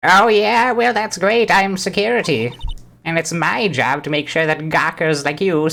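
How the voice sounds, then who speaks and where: This is a put-on character voice. It sits at a middle pitch and moves at a moderate pace. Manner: officious, scolding.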